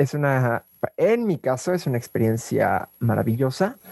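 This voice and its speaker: A man of medium pitch speaks at a very slow pace, the sound dry and close with no echo. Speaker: drag performer. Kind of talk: interview testimony. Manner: halting.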